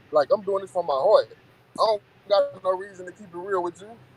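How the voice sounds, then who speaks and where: A man is heard in a dry, close sound with no echo, with noticeable background noise. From Texas, Bay City. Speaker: rapper. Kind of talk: interview. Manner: fast; repetitive, stammering.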